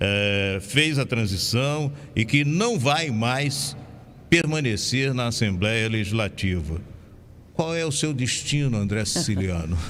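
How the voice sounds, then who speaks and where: Speaking very slowly, a man uses medium pitch and lively intonation. Room echo can be heard. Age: 70s. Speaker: radio host. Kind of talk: radio interview. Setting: radio studio.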